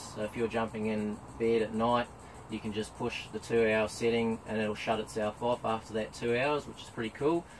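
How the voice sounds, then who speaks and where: A man with a New Zealand accent speaks at medium pitch and a moderate pace. There is light background noise. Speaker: travel vlogger. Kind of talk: product review. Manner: mumbling; casual, hesitant with ums. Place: tent. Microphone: camera far.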